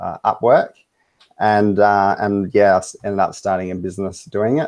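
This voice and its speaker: A man with an Australian accent talks at a moderate pace with fairly even intonation. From Western Australia. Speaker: web design business owner, client. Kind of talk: interview. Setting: Skype video call.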